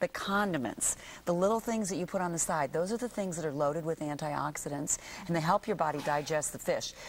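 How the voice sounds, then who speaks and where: A woman speaks at a fairly quick pace with ordinary pitch variation. Her pitch is fairly low, with light background noise. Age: 50s. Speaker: naturopath and skincare company CEO. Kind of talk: TV morning show interview. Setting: TV studio. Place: studio.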